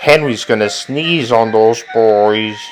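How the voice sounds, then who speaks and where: Over clear background noise, a man puts on a character voice at a medium pitch. He speaks at a fairly slow pace. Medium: read story.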